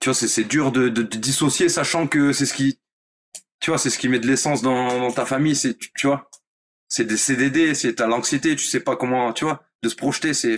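Fairly even intonation from a man in a medium pitch. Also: moderate pace. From France, Nice. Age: 30s. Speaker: professional footballer. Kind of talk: interview. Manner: hesitant, filler-heavy.

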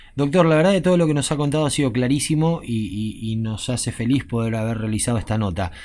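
Speaking very fast, a man with a medium-pitched voice uses lively intonation. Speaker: radio host. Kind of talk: radio interview.

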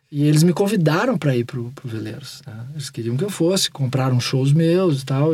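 This man's voice has a fairly high pitch and a dark, mellow tone. It is somewhat breathy, with ordinary pitch variation. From Porto Alegre, southern Brazil. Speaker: rock musician. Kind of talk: interview. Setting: home studio.

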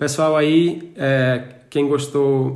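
This man's voice sits fairly high in pitch, with fairly even intonation. The room echo is audible. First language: Portuguese. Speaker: podcast host. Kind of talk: interview. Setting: traveling in Germany. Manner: halting.

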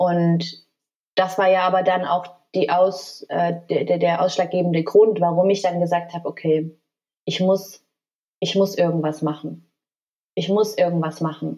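Her pitch is fairly low and her intonation flat and monotone. The woman speaks fairly slowly, with long, frequent pauses. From Germany. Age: 30s. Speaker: flight attendant. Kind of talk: personal testimony in podcast interview.

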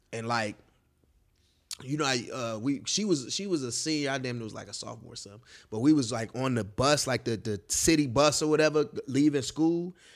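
On a very clean recording with a silent background, a man of medium pitch talks at a fairly quick pace with ordinary pitch variation and big swings in loudness. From Chicago West Side. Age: 30s. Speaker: party promoter. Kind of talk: casual chat. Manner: energetic.

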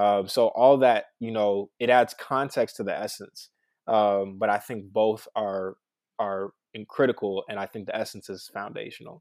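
Speaking at a moderate pace with fairly even intonation, a man has a fairly low pitch and big swings in loudness, an unremarkable speaking voice in a very clean recording with a silent background. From Baltimore, Maryland. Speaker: tech consultant. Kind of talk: casual conversation.

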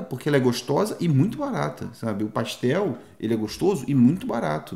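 A man's medium-pitched voice at a fairly quick pace, with very wide pitch swings. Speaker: travel podcaster. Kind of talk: casual chat.

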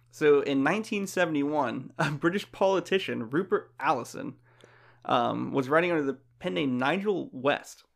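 A man's fairly high, plain, everyday voice with an American accent, lively intonation and a moderate pace. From Florida, US South. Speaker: podcast co-host. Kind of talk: casual chat.

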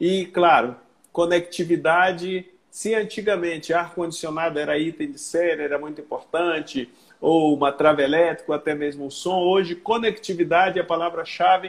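This man's voice is high in pitch. Its pitch variation is ordinary. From northern Brazil, Belém (Pará). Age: 60s. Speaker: sales consultant and car dealership manager. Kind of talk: casual interview on a livestream.

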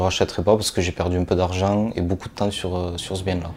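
In a flat monotone, a man speaks with a very deep, low pitch. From southern France, Toulouse area. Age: 20s. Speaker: property investor and machinist. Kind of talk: interview during property tour. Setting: on location in a renovated apartment.

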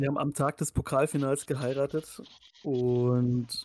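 Flat, monotone intonation runs through a voice with a dark, mellow tone. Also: man, dry, close sound with no echo. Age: 30s. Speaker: podcast host. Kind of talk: casual chat.

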